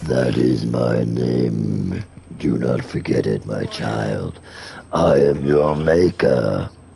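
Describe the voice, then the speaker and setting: A man speaks in a put-on character voice, very deep and raspy, at a very slow pace. Background noise is clearly audible. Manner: menacing, slow.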